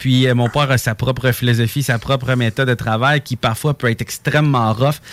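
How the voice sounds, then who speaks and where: With a plain, everyday voice, a man speaks at medium pitch and a moderate pace. His intonation is fairly even, and the sound is dry and close with no echo. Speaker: race car driver. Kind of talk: casual chat.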